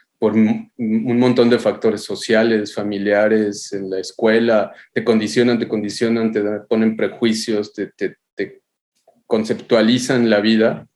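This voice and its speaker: This man talks fairly slowly at a medium pitch, his intonation monotone and flat. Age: 40s. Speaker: architectural photographer. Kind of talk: podcast interview. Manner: halting, many repetitions.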